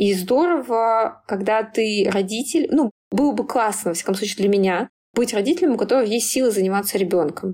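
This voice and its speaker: Lively intonation and very even loudness mark a woman's fairly high voice with a dark, mellow tone. She talks at a fairly quick pace on a very clean recording with a silent background. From small town in Tver region, Russia. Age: 30s. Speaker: PR director. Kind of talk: interview.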